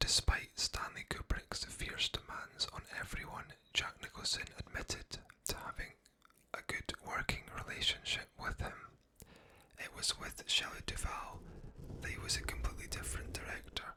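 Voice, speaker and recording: Whispering from a man, moderate in pace. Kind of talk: ASMR movie trivia narration. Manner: whispered, soft-spoken.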